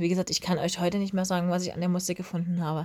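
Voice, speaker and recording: In a very clean recording with a silent background, a woman with a dark, mellow tone talks at a very fast pace. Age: 30s. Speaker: podcast host. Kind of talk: casual monologue.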